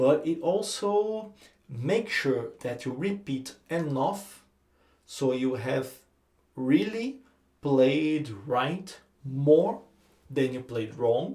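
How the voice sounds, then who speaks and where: A man's fairly high, somewhat breathy voice in a dark, mellow tone, very slow in pace with lively intonation. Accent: Brazilian. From Brazil. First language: Portuguese. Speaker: guitar teacher. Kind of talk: tutorial. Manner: halting.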